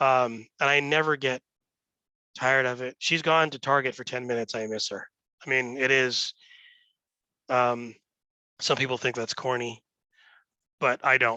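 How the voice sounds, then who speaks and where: Loud and bright with a sharp tone, a man speaks at a moderate pace and medium pitch, his intonation monotone and flat, with long, frequent pauses. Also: dry, close sound with no echo, quiet background. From Los Angeles, San Fernando Valley. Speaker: real estate executive. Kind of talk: interview. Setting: office. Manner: hesitant, many fillers.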